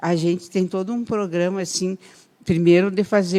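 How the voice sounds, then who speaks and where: A woman's dark, mellow, medium-pitched voice, fairly slow and with fairly even intonation. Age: 60s. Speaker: politician. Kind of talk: radio interview.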